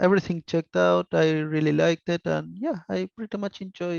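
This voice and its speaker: A man talks with very wide pitch swings, and the sound is dry and close with no echo. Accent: Spanish. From Argentina. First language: Spanish. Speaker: software developer. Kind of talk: panel discussion.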